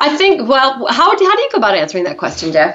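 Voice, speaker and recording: The speech comes at a fairly quick pace with very wide pitch swings, and noticeable background noise can be heard. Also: woman. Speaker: leadership consultant and co-host. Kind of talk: casual co-hosted radio talk.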